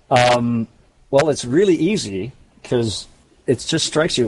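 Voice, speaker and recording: This man has an unremarkable speaking voice at medium pitch. He keeps a moderate pace with ordinary pitch variation. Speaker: game master. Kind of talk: actual play roleplaying game session. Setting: online voice call.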